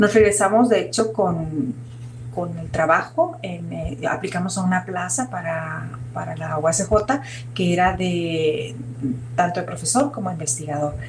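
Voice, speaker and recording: Over noticeable background noise and audible room echo, a woman with a very deep, low pitch speaks slowly with lively intonation. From northwest Mexico (Sinaloa, Sonora). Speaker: biomedical engineering professor and researcher. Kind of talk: interview.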